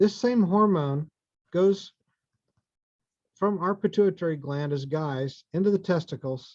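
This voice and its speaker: A man with an American accent, fairly slow pace and ordinary pitch variation. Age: 60s. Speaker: fertility doctor. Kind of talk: lecture.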